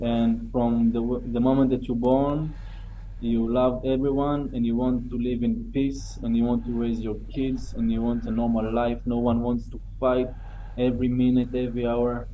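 At a moderate pace, a man speaks with an Israeli accent. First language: Hebrew. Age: 30s. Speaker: October 7 survivor. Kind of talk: testimony.

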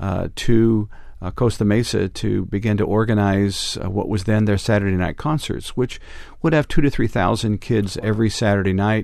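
A man with a fairly low voice and an American accent, an unremarkable speaking voice, moderate pace and ordinary pitch variation. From Northern California. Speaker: ministry leader. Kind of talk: interview. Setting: studio.

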